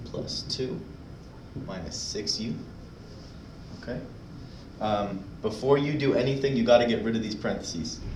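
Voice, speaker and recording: Lively intonation runs through speech broken by long, frequent pauses, with audible room echo and noticeable background noise. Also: man. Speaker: math teacher. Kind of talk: tutorial. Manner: fast; casual, filler-heavy.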